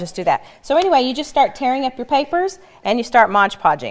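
The background is quiet. A woman's pitch swings very widely as she speaks. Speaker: crafter and blogger. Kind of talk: casual craft demo talk. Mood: cheerful, friendly. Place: studio. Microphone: lapel.

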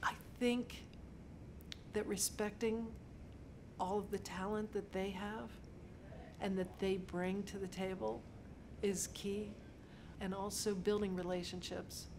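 Speaking at a fairly slow pace, a woman leaves long, frequent pauses over noticeable background noise. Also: fairly even intonation. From Pittsburgh, Pennsylvania. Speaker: set decorator. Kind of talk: interview monologue. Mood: warm, reflective. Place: office.

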